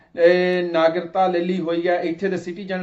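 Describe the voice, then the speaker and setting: A man with a Punjabi accent. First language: Punjabi (speaking Hindi). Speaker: TV interview host. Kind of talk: interview introduction. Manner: hesitant, many filler words.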